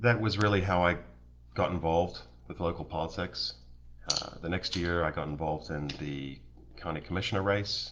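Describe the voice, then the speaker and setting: A man speaks in a very deep, low pitch with vocal fry and ordinary pitch variation. His pace is moderate, broken by long, frequent pauses. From New Zealand. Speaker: local political candidate. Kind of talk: campaign livestream introduction. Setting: live stream.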